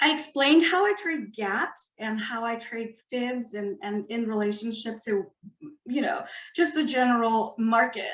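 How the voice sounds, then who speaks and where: A woman's fairly high voice, at a fairly slow pace, with ordinary pitch variation. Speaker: trader. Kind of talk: webinar tutorial. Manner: animated.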